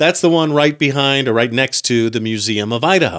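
In a very clean recording with a silent background, a normal speaking voice moves at a fairly quick pace with lively intonation. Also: man. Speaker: podcast host. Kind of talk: casual chat.

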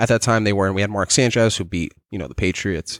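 A man with an unremarkable speaking voice and a fairly low pitch talks with fairly even intonation, in a dry, close sound with no echo on a very clean recording with a silent background. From New York City, Staten Island. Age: 20s. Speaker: podcast host. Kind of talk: casual chat.

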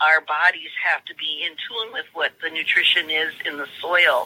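A woman at a moderate pace, the sound dry and close with no echo. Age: 60s. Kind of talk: interview.

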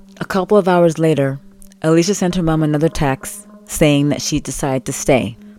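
Music plays in the background as a woman talks at a fairly quick pace. Her pitch is very deep and low, with ordinary variation. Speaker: true crime podcaster. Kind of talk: true-crime narration, scripted storytelling. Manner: conversational, empathetic, chatty storyteller; animated, casual asides.

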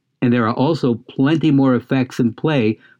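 A man speaks with a plain, everyday voice at a moderate pace and with ordinary pitch variation. The sound is dry and close with no echo, over a quiet background. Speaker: co-host and actor. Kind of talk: podcast conversation with read-out segments.

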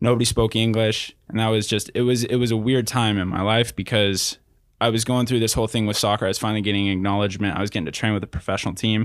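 Delivered at a very fast pace with an American accent, the speech has a monotone, flat intonation and very even loudness on a very clean recording with a silent background. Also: man, fairly low pitch for a man. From Southern California, Riverside. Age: 20s. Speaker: athlete. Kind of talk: casual chat.

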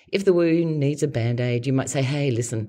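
A woman with an Australian accent talks at a fairly quick pace against a quiet background. Her pitch is very deep and low, her tone dark and mellow. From Australia, Adelaide. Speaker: podcast host and personality coach. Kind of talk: scripted narration.

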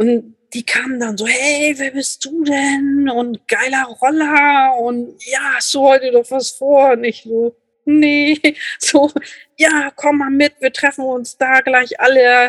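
A woman's high voice at a very slow pace, fairly even in intonation, with a dry, close sound and no echo. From Lübeck, northern Germany. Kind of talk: casual interview chat.

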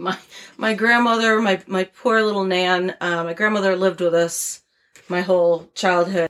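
A woman with an American accent has a plain, everyday voice at a medium pitch. She talks at a moderate pace with fairly even intonation. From Connecticut, US. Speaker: guest. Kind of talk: casual chat, storytelling.

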